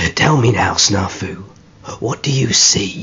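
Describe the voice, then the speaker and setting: Growling in a put-on character voice, a man speaks at a fairly slow pace. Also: fairly low pitch for a man. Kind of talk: audiobook character acting. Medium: read story. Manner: commanding, rough ungrammatical speech.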